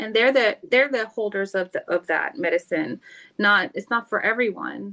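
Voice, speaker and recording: A woman's fairly high, bright, sharp voice with vocal fry, ordinary pitch variation and a moderate pace, dry and close with no echo. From South Florida, US. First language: not English (language unstated). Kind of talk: interview conversation. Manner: halting, searching for words.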